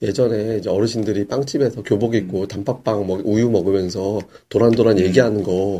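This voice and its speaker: A man's fairly low-pitched voice over noticeable background noise. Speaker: stock podcast host. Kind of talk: casual chat. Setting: studio.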